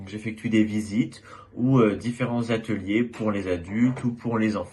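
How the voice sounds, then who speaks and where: An unremarkable speaking voice from a man at medium pitch, with fairly even intonation and a moderate pace. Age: 20s. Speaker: former student. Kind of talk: testimony.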